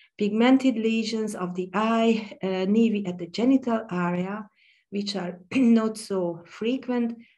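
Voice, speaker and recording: A woman with a Hungarian accent speaks at a fairly slow pace in a dark, mellow tone against a quiet background. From Hungary. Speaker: pediatric dermatologist. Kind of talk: conference lecture. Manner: halting, with many fillers.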